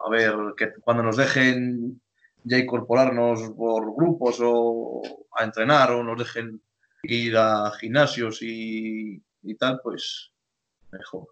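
A man's medium-pitched voice at a very slow pace, with fairly even intonation and music in the background. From Spain, Torquemada (Palencia). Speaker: rugby player. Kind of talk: casual chat.

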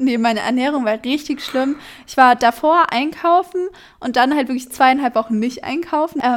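Her loudness swings a lot as this woman speaks in a high pitch with ordinary pitch variation. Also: moderate pace. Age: 20s. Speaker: podcast co-host. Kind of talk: casual chat.

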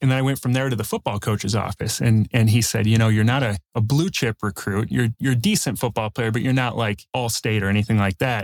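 In a Chicago accent, a man at medium pitch talks fairly quickly with hardly any pauses, fairly even intonation and very even loudness, on a very clean recording with a silent background and a dry, close sound with no echo. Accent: Chicago-area American. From south suburbs of Chicago. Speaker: real estate investor and coach. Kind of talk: interview.

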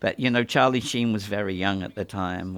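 A man's fairly low, monotone voice in an English accent, flat intonation, moderate pace, very clean recording with a silent background. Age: 60s. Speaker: makeup effects designer. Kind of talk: audio commentary. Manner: halting.

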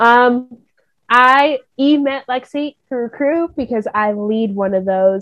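A woman with an American accent speaks at a very slow pace and a high pitch, with a dry, close sound and no echo. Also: ordinary pitch variation. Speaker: university student and Bible study group leader. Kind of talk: casual faith conversation.

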